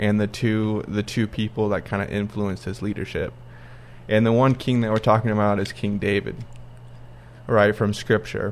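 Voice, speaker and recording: At a fairly low pitch, a man talks in a flat monotone at a moderate pace. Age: 20s. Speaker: podcast co-host, architectural designer. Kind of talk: casual chat.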